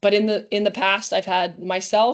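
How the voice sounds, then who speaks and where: The delivery is fairly quick, with fairly even intonation. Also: woman. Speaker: volleyball coach. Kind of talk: webinar lecture. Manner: fast.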